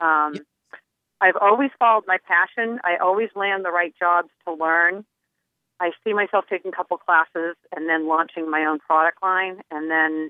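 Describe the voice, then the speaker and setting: An ordinary speaking voice talks at a moderate pace, its pitch varying in an ordinary way. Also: woman, fairly low pitch for a woman. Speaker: caller. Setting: phone call.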